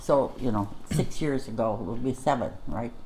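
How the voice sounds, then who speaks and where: A woman speaks at a very deep, low pitch with a dark, mellow tone. Audible room echo surrounds her voice. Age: 80s+. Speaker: show co-host, elderly mother. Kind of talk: casual chat.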